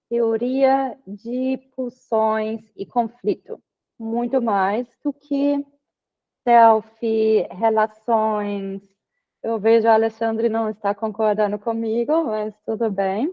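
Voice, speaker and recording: With a German accent and fairly even intonation, the speaker goes at a very slow pace. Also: woman, fairly high pitch for a woman. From Germany. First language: German (speaking Portuguese). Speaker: psychoanalysis student presenting final paper. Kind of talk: academic presentation and discussion. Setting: video call. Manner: hesitant with fillers.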